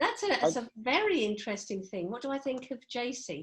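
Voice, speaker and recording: A woman speaks with a southern English accent and a high pitch. The recording is very clean, with a silent background. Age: 60s. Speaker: HR manager. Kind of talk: podcast interview. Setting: home.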